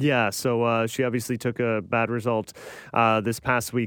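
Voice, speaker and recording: A man talks with a Canadian accent in an ordinary speaking voice at medium pitch. The recording is very clean, with a silent background. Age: 30s. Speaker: tennis podcast host. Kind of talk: casual chat.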